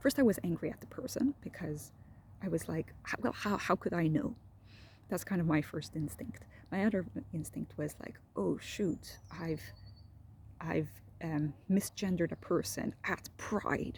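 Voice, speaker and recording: Soft-spoken and with vocal fry, the voice moves at a fairly slow pace with long, frequent pauses and very wide pitch swings. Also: woman, fairly low pitch for a woman. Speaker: medical resident doctor. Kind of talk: casual talk to camera. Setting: outdoors. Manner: soft-spoken, low voice.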